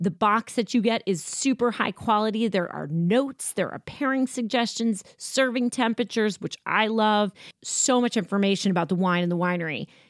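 A woman with an American accent and an ordinary speaking voice talks at a moderate pace with fairly high pitch, ordinary pitch variation and hardly any pauses, on a very clean recording with a silent background and a dry, close sound with no echo. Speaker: wine podcast host. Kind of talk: casual interview.

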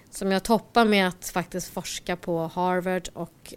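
A woman's ordinary speaking voice at medium pitch and a fairly slow pace, in a very clean recording with a silent background. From Stockholm, Sweden. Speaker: IT entrepreneur. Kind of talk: interview.

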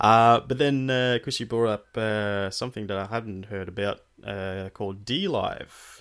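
In a plain, everyday voice, the speaker goes at a fairly slow pace with ordinary pitch variation and hardly any pauses. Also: man, fairly low pitch for a man. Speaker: podcast host. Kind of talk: casual chat.

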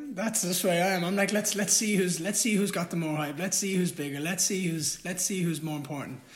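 A high-pitched man in an Irish accent, fairly quick with hardly any pauses, ordinary pitch variation, and noticeable background noise. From Ireland. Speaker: fighter. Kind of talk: casual chat.

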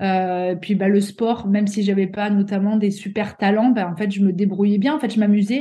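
A woman in a southern French accent, medium-pitched and somewhat breathy, with a dark, mellow tone, fairly even intonation, a moderate pace and hardly any pauses. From southeastern France, Avignon. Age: 30s. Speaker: athlete and sports coach. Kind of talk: interview.

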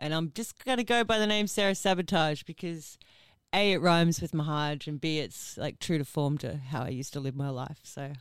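The woman's pitch is very deep and low. Her intonation is lively, and the recording is very clean with a silent background. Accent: Australian. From Ipswich, Queensland, Australia. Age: 30s. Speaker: singer. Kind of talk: casual chat.

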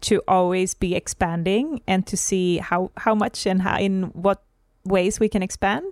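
In a Swedish accent, a woman with a medium pitch and ordinary pitch variation speaks at a fairly slow pace in a very clean recording with a silent background and a dry, close sound with no echo. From Sweden. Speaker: podcast host and holistic coach. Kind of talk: casual conversational podcast chat.

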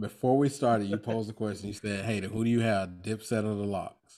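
With a north Florida accent, a man speaks at a fairly low pitch. His pace is fairly quick, and the recording is very clean over a silent background. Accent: US Southern (north Florida). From Florida, Duval County (Jacksonville). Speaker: podcast host, guest. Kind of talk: casual chat.

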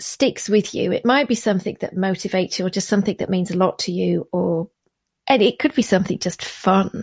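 On a very clean recording with a silent background, a woman with a medium-pitched, somewhat breathy voice speaks with ordinary pitch variation in a dry, close sound with no echo. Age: 40s. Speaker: podcast host. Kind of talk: casual chat.

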